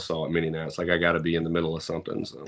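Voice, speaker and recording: A man with a very deep, low pitch and a Southern US accent speaks at a very fast pace. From US South, Mississippi (Pearl, near Jackson). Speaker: truck show event promoter. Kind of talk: casual podcast interview.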